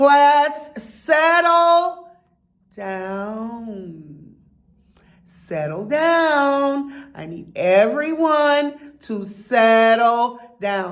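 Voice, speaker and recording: A loud, female-sounding, put-on character voice talks at a very slow pace and a high pitch. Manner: raised voice, commanding.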